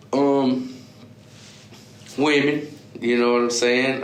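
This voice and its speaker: Speech moves at a very slow pace. Both room echo and noticeable background noise can be heard. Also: man. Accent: American. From Texas, Beaumont. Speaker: rapper. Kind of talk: interview. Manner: halting, many fillers.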